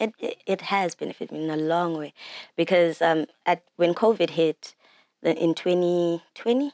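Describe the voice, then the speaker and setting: The speaker has a Zimbabwean accent and ordinary pitch variation at a moderate pace. The sound is dry and close, with no echo. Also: woman, fairly low pitch for a woman. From Zimbabwe, Bulawayo. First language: Shona. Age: 20s. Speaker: singer and songwriter. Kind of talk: interview. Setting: studio.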